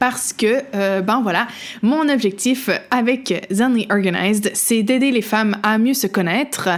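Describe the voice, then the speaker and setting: Fairly slow speech from a woman in a Quebec accent, fairly high in pitch, with ordinary pitch variation. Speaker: podcast host. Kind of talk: casual podcast monologue. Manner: halting, many hesitations.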